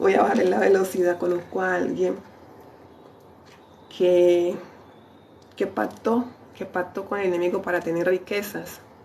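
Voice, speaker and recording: Over noticeable background noise, a woman with a fairly low voice speaks at a fairly slow pace with long, frequent pauses. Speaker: lay preacher. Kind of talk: sermon. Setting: livestream. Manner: animated.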